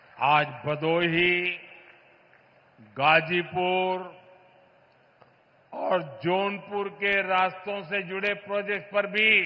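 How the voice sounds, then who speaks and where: His pitch is high for a man, with ordinary variation. He leaves long, frequent pauses. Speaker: politician, prime minister. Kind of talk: public speech to a crowd.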